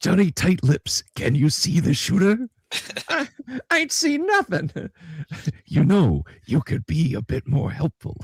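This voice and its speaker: Using a put-on character voice at a fairly high pitch, a man speaks with long, frequent pauses. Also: fairly slow pace. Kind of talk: street slang. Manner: gruff, evasive.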